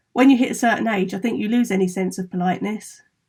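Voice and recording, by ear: Ordinary pitch variation comes through as the text is read aloud in a natural voice.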